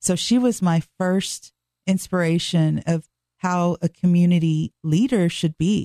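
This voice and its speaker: A woman with an American accent and a fairly low pitch, her intonation fairly even and her tone dark and mellow, in a dry, close sound with no echo. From Dallas, Texas. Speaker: city council candidate. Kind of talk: radio interview.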